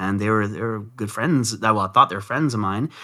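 A man speaks in a fairly low pitch with a bright, sharp tone and a Canadian accent. The recording is very clean, with a silent background. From Vancouver, Canada. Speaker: entrepreneur and former drug dealer. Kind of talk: interview.

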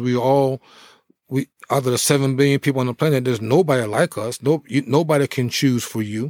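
In a normal speaking voice, a man with an American accent talks at a fairly quick pace with fairly even intonation. The recording is very clean and dry, close with no echo and a silent background. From New Jersey. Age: 50s. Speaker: former pro football player. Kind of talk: interview conversation.

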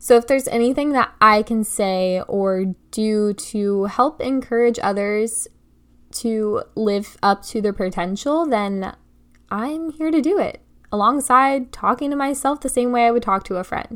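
In a very clean recording with a silent background, a woman speaks at a fairly slow pace, her fairly high pitch showing ordinary variation. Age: 20s. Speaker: podcast host. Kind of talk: solo monologue. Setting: home bedroom desk.

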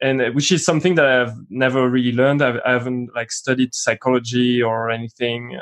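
A man speaks with a French accent at a fairly quick pace. He leaves hardly any pauses. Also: medium pitch for a man, fairly even intonation. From France, Paris. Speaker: musician and film buff guest. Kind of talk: casual film discussion podcast.

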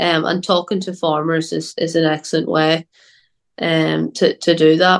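Delivered at a moderate pace in a Northern Irish accent, the speech stays monotone and flat, with a dry, close sound and no echo. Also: woman, fairly low pitch for a woman. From Northern Ireland. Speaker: agriculture student. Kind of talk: interview. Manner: hesitant, many fillers and repeats.

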